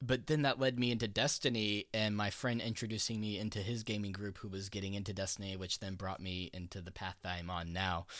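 An ordinary speaking voice from a man, fairly low in pitch and fairly quick, with fairly even intonation and hardly any pauses. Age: 20s. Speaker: podcast host and programmer. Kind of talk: casual chat. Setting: remote call with echo.

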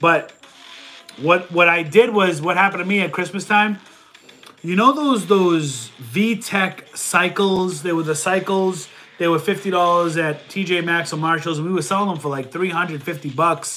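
Over noticeable background noise, a man with a high pitch speaks at a moderate pace with ordinary pitch variation. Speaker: online reseller answering viewer questions. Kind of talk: casual livestream Q&A. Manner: casual, conversational.

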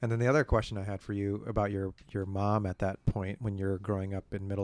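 Delivered at a moderate pace with monotone, flat intonation, the speech comes through in a very clean recording with a silent background. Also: man. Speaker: public defender and podcast host. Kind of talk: casual interview conversation.

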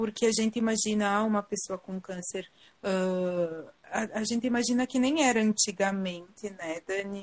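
Here is a woman in a normal speaking voice. She keeps a moderate pace and ordinary pitch variation. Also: medium pitch for a woman. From southern Brazil, Rio Grande do Sul (Garibaldi). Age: 30s. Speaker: cancer survivor sharing her story. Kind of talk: live interview testimony. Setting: online live video call.

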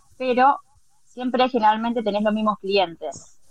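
An unremarkable speaking voice from a woman, fairly high in pitch, with ordinary pitch variation at a moderate pace. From Argentina. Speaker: house cleaner. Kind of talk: casual chat.

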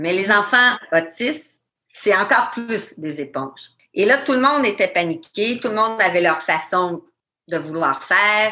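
At a fairly slow pace, a woman talks with a medium pitch and very wide pitch swings. Her tone is bright and sharp. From Quebec. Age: 40s. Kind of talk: interview.

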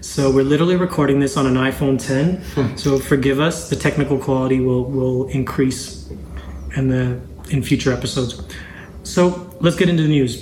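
A man's medium-pitched voice at a moderate pace, with ordinary pitch variation and very even loudness, amid noticeable background noise and audible room echo. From Zambia. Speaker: music business podcast host. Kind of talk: casual business talk.

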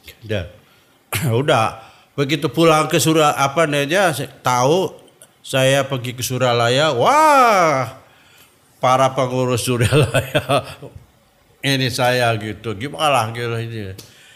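The man speaks at a very slow pace. He leaves long, frequent pauses. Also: medium pitch for a man, ordinary pitch variation. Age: 70s. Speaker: Sufi order elder. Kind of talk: interview testimony.

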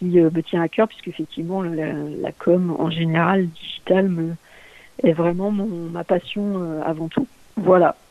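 A woman at a medium pitch and fairly slow pace, fairly even intonation, in a dry, close sound with no echo. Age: 40s. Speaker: LinkedIn community manager and content strategist. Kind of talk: interview. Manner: halting, many fillers and repetitions.

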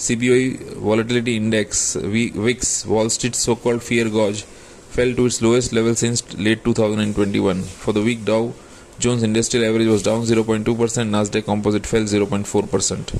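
Over noticeable background noise, a man with an Indian accent talks at a fairly slow pace with a medium pitch, very even loudness, and monotone, flat intonation. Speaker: market analyst. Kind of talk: newsreading of market report. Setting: recorded podcast. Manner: formal; steady, brisk, even-paced delivery.

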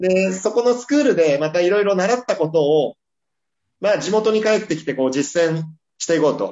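Speaking fairly quickly, a man uses a voice that sits high in pitch. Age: 40s. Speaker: real estate company president. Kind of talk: casual interview. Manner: halting, many fillers.

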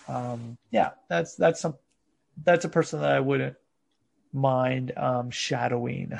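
In a quiet background, a man with an American accent speaks at a moderate pace in a somewhat breathy, medium-pitched voice. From United States. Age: 40s. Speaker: fitness coach. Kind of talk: interview.

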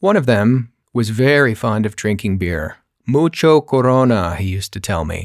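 With an American accent, a man talks at a moderate pace in a plain, everyday voice, his medium pitch carried by lively intonation. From California, US. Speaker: podcaster. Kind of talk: personal storytelling monologue.

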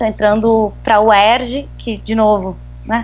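A woman talks at a fairly slow pace. She has a southern Brazilian accent. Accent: gaúcho Brazilian Portuguese. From southern Brazil (Rio Grande do Sul). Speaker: human rights advocate. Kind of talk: interview.

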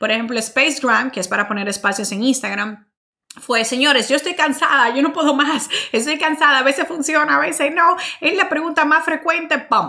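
A woman speaks at a fairly quick pace in an animated tone. Her voice is high, raised and projected, with lively intonation. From Dominican Republic. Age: 30s. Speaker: marketing podcast host and entrepreneur. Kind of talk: solo Q&A monologue.

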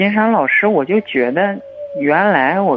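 His pitch rises and falls across a very wide range. The man's pace is fairly slow. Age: 20s. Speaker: dentist, caller. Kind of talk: phone-in call.

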